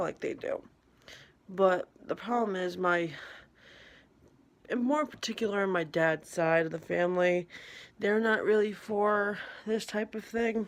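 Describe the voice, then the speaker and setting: Quiet and at a fairly slow pace, a woman speaks with ordinary pitch variation. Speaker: vlogger. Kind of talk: casual monologue. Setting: at home in an apartment at night.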